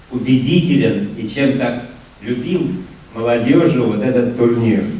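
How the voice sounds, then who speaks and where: A man's medium-pitched voice with ordinary pitch variation and a fairly slow pace, amid noticeable background noise and audible room echo. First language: Russian. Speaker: tournament founder. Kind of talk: ceremonial speech.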